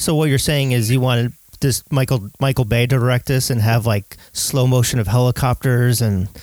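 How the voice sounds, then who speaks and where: A man of medium pitch speaking at a moderate pace. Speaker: podcast host, movie writer. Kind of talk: casual chat about movies.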